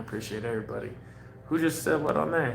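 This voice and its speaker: Room echo is audible as a man speaks with ordinary pitch variation. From US, mixed (Oregon, Hawaii, many states). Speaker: cannabis vlogger. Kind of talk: casual livestream chat. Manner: laid-back, casual.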